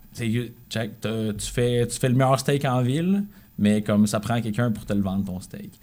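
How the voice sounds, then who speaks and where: A man with a Quebec accent talks at a medium pitch and a fairly slow pace, with ordinary pitch variation. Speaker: musician. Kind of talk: casual chat.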